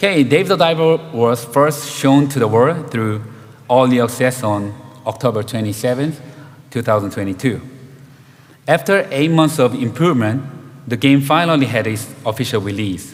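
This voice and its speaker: A man with a Korean accent talks over noticeable background noise, with audible room echo around him. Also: medium pitch for a man, moderate pace. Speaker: game director. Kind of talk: conference talk. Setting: stage with audience.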